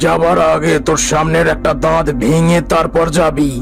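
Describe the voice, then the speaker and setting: Over clear background noise, a man puts on a cartoonish character voice, pitched fairly high and delivered at a moderate pace. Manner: authoritative.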